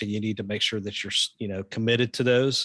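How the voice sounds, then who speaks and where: A medium-pitched man with a Southern US accent, fairly quick and fairly even, in a dry, close sound with no echo against a quiet background. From US South. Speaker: pastor and ministry leader. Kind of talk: casual interview.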